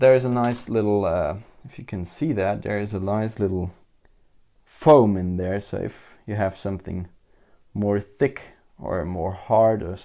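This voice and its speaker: A man with a German accent speaks at a fairly slow pace in a fairly low pitch. His pitch varies in an ordinary way, while his loudness swings widely. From Germany. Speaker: tech reviewer. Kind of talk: product review. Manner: halting.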